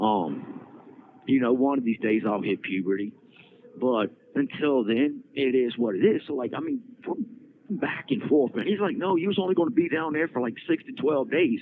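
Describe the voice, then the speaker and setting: An animated man with an American accent, his fairly high voice swinging very widely in pitch at a moderate pace. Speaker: prison inmate podcaster. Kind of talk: casual storytelling monologue. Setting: prison phone call. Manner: animated, repetitive stammering.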